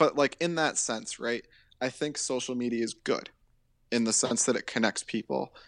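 In an ordinary speaking voice, a man with a medium pitch speaks at a moderate pace with fairly even intonation, in a dry, close sound with no echo against a quiet background. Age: 20s. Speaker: podcast co-host. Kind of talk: casual chat.

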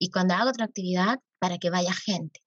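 At a moderate pace, a woman speaks at medium pitch, the sound dry and close with no echo. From Arequipa, Peru. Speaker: youth activist and nonprofit founder. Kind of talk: interview conversation. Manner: halting with many fillers.

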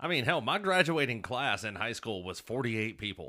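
In an Alabama accent, a man with a medium-pitched, bright, sharp voice makes very wide pitch swings, on a very clean recording with a silent background. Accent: Southern US (Alabama). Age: 30s. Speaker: podcast co-host, former Marine. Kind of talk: casual chat.

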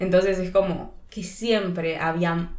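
A woman speaks at medium pitch and a fairly slow pace, with audible room echo. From Argentina, Río Gallegos (Patagonia). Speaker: podcast co-host. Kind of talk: casual chat.

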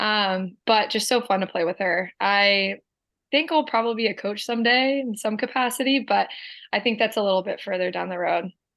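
Ordinary pitch variation marks a plain, everyday voice moving at a fairly quick pace. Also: woman, fairly high pitch for a woman. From New Jersey (Medford). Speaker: former college lacrosse player. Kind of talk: casual interview.

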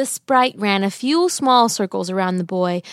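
At a moderate pace, a woman uses a normal speaking voice with lively intonation, recorded very cleanly with a silent background and a dry, close sound with no echo. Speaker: storyteller. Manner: storybook cadence, warm, gently rhythmic and expressive.

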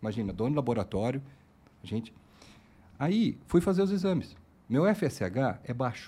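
Somewhat breathy and dark, mellow in tone, a man at a medium pitch talks at a moderate pace with very wide pitch swings and long, frequent pauses. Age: 40s. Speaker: podcast host, lab owner. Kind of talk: casual interview.

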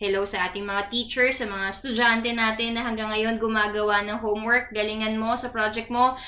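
Noticeable background noise and audible room echo accompany a woman's fairly high pitch and monotone, flat intonation. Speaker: podcast host for a church youth fellowship. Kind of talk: casual chat.

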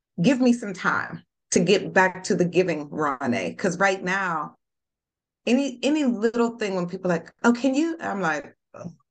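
A woman's medium-pitched voice with vocal fry, very wide pitch swings and a moderate pace. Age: 40s. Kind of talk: casual chat.

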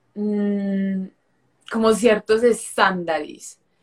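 The speaker is a woman. Her pitch is fairly high. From Colombia, Medellín. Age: 20s. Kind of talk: interview with faith testimony.

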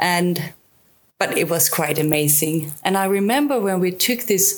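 Speaking with a Swedish accent, a woman uses a medium pitch at a fairly slow pace. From southern Sweden. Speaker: travel YouTuber. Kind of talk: casual interview.

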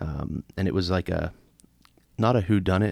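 A very clean recording with a silent background captures a man's very deep, low voice. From Pittsburgh area, US. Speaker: podcast co-host. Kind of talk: casual chat.

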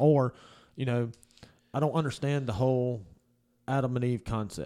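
With a Southern US accent, a man speaks at a moderate pace and a medium pitch, in a dark, mellow tone. His intonation is fairly even, broken by long, frequent pauses. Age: 30s. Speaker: podcast producer. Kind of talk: casual chat. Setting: studio.

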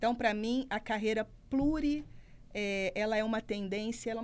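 A normal speaking voice at a fairly quick pace with fairly even intonation. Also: woman. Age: 40s. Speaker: career commentator. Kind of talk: radio talk show. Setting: studio.

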